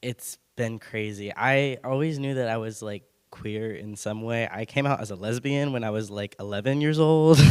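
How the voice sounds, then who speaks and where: A man with a Californian accent speaks at medium pitch with ordinary pitch variation. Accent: General American (California). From Benicia, California. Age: 20s. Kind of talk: personal testimony on a panel. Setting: church hall with audience, passed mic. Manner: casual, hesitant with fillers.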